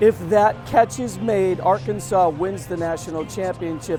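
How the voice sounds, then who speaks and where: Music plays behind a man speaking at a fairly slow pace. His voice sits at a high pitch. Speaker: TV news reporter. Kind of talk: TV news report narration.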